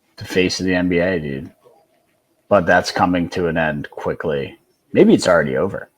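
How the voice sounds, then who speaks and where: A man pauses long and often, though his pace stays moderate. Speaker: sports podcast co-host. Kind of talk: casual chat.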